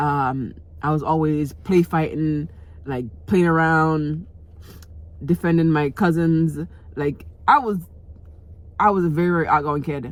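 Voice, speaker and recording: A woman speaks at a fairly slow pace in a very deep, low voice, with fairly even intonation and long, frequent pauses. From Jamaica. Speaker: vlogger. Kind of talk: personal storytelling vlog. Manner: casual, repetitive filler-heavy.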